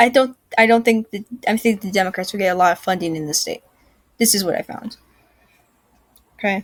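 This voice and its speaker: Somewhat breathy, a woman speaks at a fairly quick pace with long, frequent pauses, big swings in loudness and ordinary pitch variation, in a dry, close sound with no echo. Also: medium pitch for a woman. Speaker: political commentary youtuber. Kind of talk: casual solo commentary. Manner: halting, stuttering; hesitant with many fillers.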